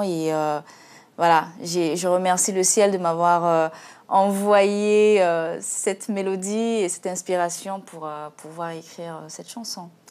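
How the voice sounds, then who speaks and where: Over a very clean recording with a silent background, the speaker goes at a very slow pace with fairly even intonation and big swings in loudness. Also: woman. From Central African Republic. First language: Sango (speaking French). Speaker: singer. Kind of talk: TV interview. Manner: halting, many hesitations.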